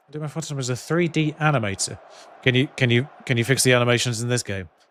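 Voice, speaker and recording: Speaking at a very fast pace, a man with a British accent keeps a medium pitch and ordinary pitch variation. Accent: British accent, noticeable to viewers. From UK. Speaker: video game streamer. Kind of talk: live game commentary on stream. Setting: live stream with headphones. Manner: casual, chatty.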